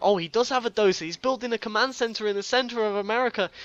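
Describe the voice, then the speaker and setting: With a British accent, a man talks fairly quickly. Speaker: game commentator. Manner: casual, conversational play-by-play.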